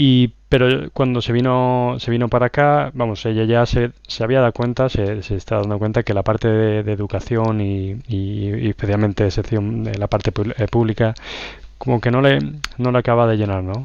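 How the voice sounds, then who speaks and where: This man has a plain, everyday voice. He talks at a moderate pace and a medium pitch. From Spain, La Roda, Albacete (Castilla-La Mancha). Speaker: software consultant. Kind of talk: casual interview.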